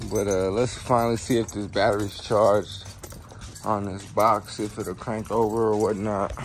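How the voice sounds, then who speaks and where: Light background noise sits behind a man's fairly low voice. He speaks at a moderate pace with monotone, flat intonation. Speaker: car hobbyist vlogger. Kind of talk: casual vlog chat. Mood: relaxed, chatty. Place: garage. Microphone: phone near.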